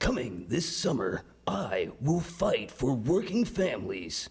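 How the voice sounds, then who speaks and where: A put-on character voice sits at a middle pitch and moves at a fairly slow pace. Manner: dramatic, movie-trailer style.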